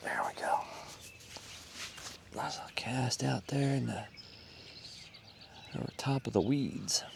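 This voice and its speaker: Whispering in a relaxed tone, a man speaks at a fairly slow pace with long, frequent pauses over noticeable background noise. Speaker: fishing video creator. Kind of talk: outdoor fishing commentary. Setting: outdoors at a pond. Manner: casual, relaxed.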